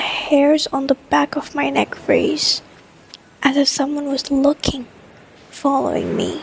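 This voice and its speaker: Noticeable background noise under a woman's soft-spoken whisper. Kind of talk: scary story reading. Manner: whispered, soft.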